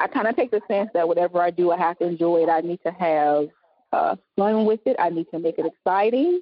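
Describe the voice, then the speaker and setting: A woman speaks with a Southern US accent and ordinary pitch variation. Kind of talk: casual interview chat.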